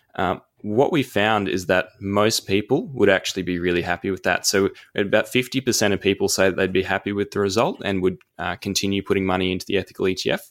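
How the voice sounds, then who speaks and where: On a very clean recording with a silent background, a man with an Australian accent and a fairly low pitch speaks at a very fast pace. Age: 20s. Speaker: investment analyst. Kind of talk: casual interview.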